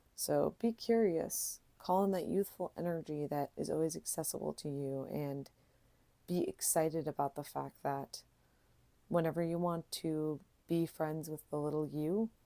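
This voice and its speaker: A woman speaks with a very deep, low pitch and a dark, mellow tone. Her tone is calm, with ordinary pitch variation. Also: very clean recording, silent background. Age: 30s. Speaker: tarot reader. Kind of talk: tarot reading. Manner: halting.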